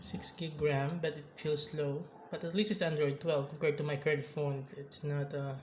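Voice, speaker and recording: A man with a non-native accent speaks at a fairly high pitch. His pace is moderate and his intonation fairly even. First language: not English. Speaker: tech reviewer, gamer. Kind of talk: casual product review vlog. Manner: halting, self-correcting.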